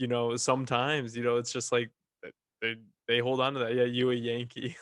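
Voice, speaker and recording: A man talks fairly quickly in a Northern US accent. His medium-pitched voice stays monotone and flat. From Michigan. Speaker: podcast host; also works in sales. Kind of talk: casual chat.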